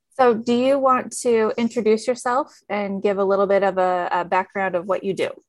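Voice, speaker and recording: In an ordinary speaking voice, a woman with an American accent talks at a moderate pace and a fairly high pitch, with ordinary pitch variation and hardly any pauses. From US rural farming community. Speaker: podcast co-host, infection prevention professional. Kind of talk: casual chat.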